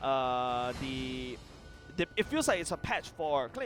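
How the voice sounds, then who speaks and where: Music plays in the background. The speech comes at a fairly slow pace. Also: man. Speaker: esports caster. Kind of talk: live commentary. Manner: trips over words.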